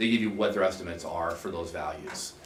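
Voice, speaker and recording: Over noticeable background noise and audible room echo, a man talks very fast with fairly even intonation. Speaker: insurance agent presenting to board. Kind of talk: public meeting presentation.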